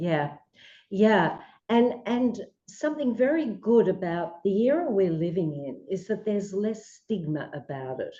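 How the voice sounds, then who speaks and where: A woman with an Australian accent, medium in pitch, at a fairly slow pace with very wide pitch swings. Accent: Australian, persistent. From Australia, Melbourne. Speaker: psychologist. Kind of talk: radio interview.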